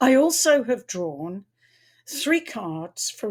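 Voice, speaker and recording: A somewhat breathy woman's voice on a very clean recording with a silent background. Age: 70s. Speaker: tarot reader and astrologer. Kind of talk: casual talk to camera. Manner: halting, with repetitions.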